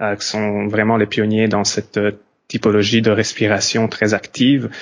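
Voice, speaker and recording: Over a quiet background, a man with a fairly low pitch talks at a fairly slow pace in monotone, flat intonation. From Belgium / Italy. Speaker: yoga and breathwork teacher. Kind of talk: casual conversation.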